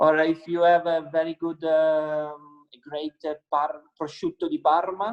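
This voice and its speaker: Speaking in an Italian accent, a man with a fairly high pitch talks at a fairly slow pace in a monotone, flat delivery. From Italy, Piedmont (Langhe). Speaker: winemaker. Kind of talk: interview. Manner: halting, many fillers.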